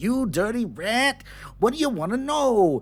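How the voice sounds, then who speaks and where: A man's put-on character voice at an extremely high pitch and moderate pace. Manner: tough, gruff, defiant.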